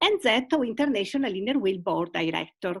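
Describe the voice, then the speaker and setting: Lively intonation marks this woman's speech in an Italian accent. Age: 70s. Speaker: retired teacher and club leader. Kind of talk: video call interview.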